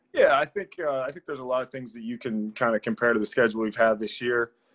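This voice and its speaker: This man's speech moves at a fairly quick pace, and the background is quiet. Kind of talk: interview answer. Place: home room. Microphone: video call.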